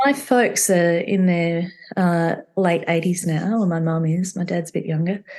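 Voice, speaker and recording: Noticeable background noise accompanies a woman speaking at a fairly slow pace. Her voice is fairly low with ordinary pitch variation. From Australia (Victoria). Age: 60s. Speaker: entrepreneur, company founder. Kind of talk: interview conversation.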